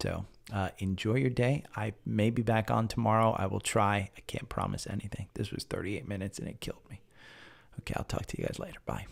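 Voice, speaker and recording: Soft-spoken with fairly even intonation, the voice comes through on a very clean recording with a silent background. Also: man, fairly low pitch for a man, fairly quick pace. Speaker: stock market live streamer. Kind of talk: live stream chat about stocks. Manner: soft, talking low.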